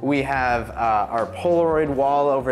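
Faint music plays behind a man who speaks at a moderate pace with ordinary pitch variation. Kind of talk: interview answer. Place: shop. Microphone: lapel.

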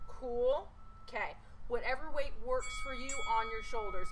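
Raised and projected, the voice swings very widely in pitch against light background noise. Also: woman. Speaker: fitness instructor. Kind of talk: workout instruction. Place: garden.

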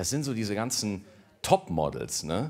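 This man talks at a moderate pace in a medium pitch, with very wide pitch swings. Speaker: comedy show host. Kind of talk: stand-up. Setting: stage with audience. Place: stage. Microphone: handheld.

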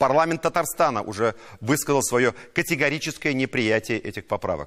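An unremarkable speaking voice from a man, with lively intonation at a fairly quick pace over a quiet background. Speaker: TV news anchor. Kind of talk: news presenting with commentary. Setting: studio. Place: studio. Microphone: lapel.

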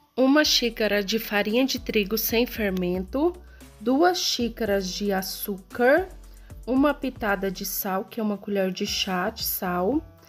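Against faint background music, a woman speaks at a very slow pace. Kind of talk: cooking tutorial. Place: kitchen. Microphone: phone near.

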